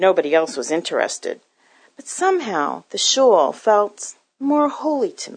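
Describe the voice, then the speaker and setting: A woman with an American accent, against a quiet background. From Newton, Massachusetts. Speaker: ministry worker. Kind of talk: testimony.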